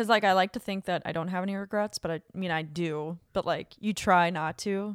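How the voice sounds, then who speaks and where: A woman talks at a fairly quick pace with hardly any pauses, at a medium pitch in an ordinary speaking voice. The sound is dry and close with no echo, and the recording is very clean with a silent background. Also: fairly even intonation. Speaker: podcast co-host. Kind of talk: casual chat.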